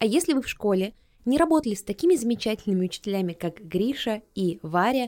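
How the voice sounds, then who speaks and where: A woman's dark, mellow tone carries along at a moderate pace. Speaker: podcast host. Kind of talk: casual chat.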